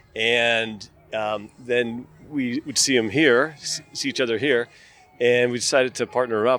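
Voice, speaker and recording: Music plays in the background. A man speaks at a fairly slow pace with fairly even intonation. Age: 60s. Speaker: masters fitness racer. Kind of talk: casual interview. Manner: halting.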